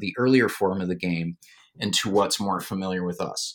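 In a very clean recording with a silent background, a man with an unremarkable speaking voice and an American accent talks at a moderate pace, fairly low in pitch with ordinary pitch variation. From Minnesota, Duluth. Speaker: historian and author. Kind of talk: interview.

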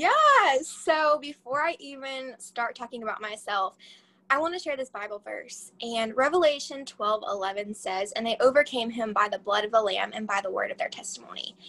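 Bright and sharp, a woman's high voice is raised and projected. She talks at a moderate pace with lively intonation. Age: young. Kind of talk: testimony. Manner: animated.

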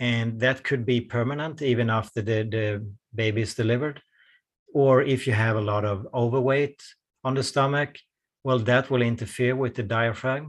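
In a quiet background, a man with an unremarkable speaking voice talks at a moderate pace, medium in pitch, with fairly even intonation. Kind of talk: guided breathing exercise, instructing listener.

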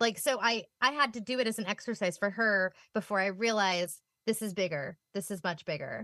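A woman speaks with ordinary pitch variation. The background stays quiet. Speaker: children's book author, recipient parent. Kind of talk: interview. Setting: video call.

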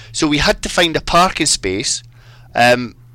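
With a Scottish accent, the speaker talks at a moderate pace in a bright, sharp tone. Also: man. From Scotland. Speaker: fly fishing guide. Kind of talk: casual chat.

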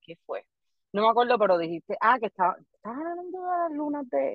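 A woman is speaking. Her pitch swings very widely. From Puerto Rico, Barranquitas. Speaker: comedian. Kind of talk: casual chat.

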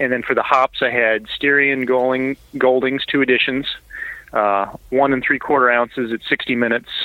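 Monotone, flat intonation in an American accent at a fairly quick pace, against noticeable background noise. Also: man. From Indianapolis, US Midwest. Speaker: homebrewer submitting beer. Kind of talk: casual chat, getting beer feedback.

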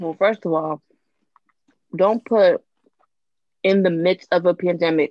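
A woman's fairly low voice at a fairly slow pace, broken by long, frequent pauses. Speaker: panelist. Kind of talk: casual chat. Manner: animated.

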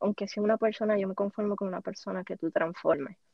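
Here is a woman with a Puerto Rican accent. Her intonation stays fairly even. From Puerto Rico. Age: 20s. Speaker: podcaster. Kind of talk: interview.

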